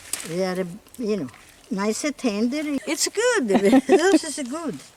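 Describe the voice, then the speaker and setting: Over noticeable background noise, a woman with a high voice speaks at a fairly slow pace with very wide pitch swings. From Calabria, southern Italy. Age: 80s+. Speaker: home gardener. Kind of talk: casual chat. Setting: outdoors.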